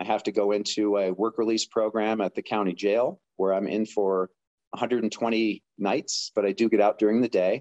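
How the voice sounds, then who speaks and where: In a dry, close sound with no echo and a quiet background, a man talks at medium pitch and a moderate pace in an ordinary speaking voice. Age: 50s. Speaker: person in addiction recovery. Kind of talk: personal testimony interview. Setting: remote call.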